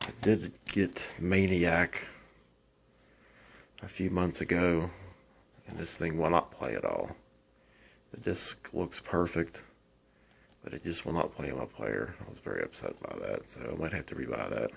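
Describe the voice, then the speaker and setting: A quiet voice with vocal fry and lively intonation, big swings in loudness, a fairly slow pace, and long, frequent pauses. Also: man, very deep, low pitch for a man. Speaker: horror film collector, first-time YouTuber. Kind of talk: casual show-and-tell monologue. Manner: quiet, low-volume; hesitant, self-repeating.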